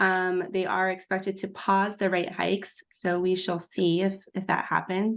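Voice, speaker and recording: A woman speaks against a quiet background. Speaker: mortgage lender giving rate update. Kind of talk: business rate briefing.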